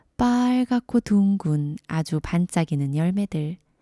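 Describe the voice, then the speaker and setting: The voice is dark and mellow, calm and gentle, and very slow. The recording is very clean with a silent background. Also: woman, dry, close sound with no echo. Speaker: storyteller. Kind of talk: sleep story. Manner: calm, gentle.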